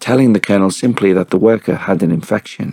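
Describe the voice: Someone does plain reading aloud, with ordinary pitch variation.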